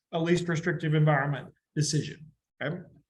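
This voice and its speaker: A man is speaking. Audible room echo follows his words. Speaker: education instructor. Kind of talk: lecture. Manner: fast.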